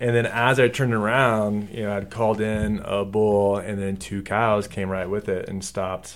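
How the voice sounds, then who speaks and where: A man with an American accent, an ordinary speaking voice, fairly low pitch and fairly even intonation. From Texas. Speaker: hunter. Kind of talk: casual chat.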